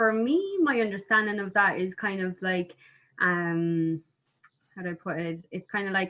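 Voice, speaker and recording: In an Irish accent, a woman speaks at a very slow pace and medium pitch. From Ireland. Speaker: musician. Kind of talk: interview. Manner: halting.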